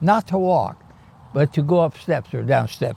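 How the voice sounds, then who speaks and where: With an American accent, a man speaks with vocal fry. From China, then Michigan as a teen. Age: 80s+. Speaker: retired nutrition professor and physician. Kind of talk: interview. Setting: at home, backyard.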